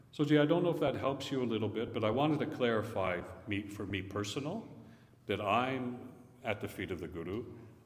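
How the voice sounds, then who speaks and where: A man talks at a fairly quick pace. There is audible room echo. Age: 70s. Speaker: visiting Sikh speaker. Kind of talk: religious talk with Q&A. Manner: conversational.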